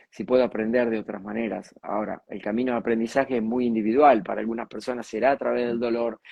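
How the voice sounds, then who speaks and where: Speaking at a very fast pace with a Rioplatense accent, a man holds a medium pitch in a monotone, flat delivery. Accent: Argentine Rioplatense Spanish. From Argentina, near Mar del Plata. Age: 60s. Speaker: communicator and speaker. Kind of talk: interview.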